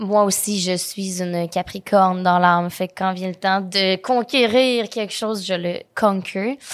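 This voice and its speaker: Using an ordinary speaking voice, the speaker goes at a fairly slow pace with fairly even intonation and hardly any pauses. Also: woman, medium pitch for a woman. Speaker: content creator and entrepreneur. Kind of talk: interview. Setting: studio.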